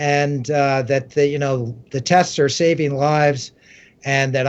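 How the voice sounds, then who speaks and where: At a fairly slow pace, a man talks in an unremarkable speaking voice pitched fairly high. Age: 60s. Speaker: author and science writer. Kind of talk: interview.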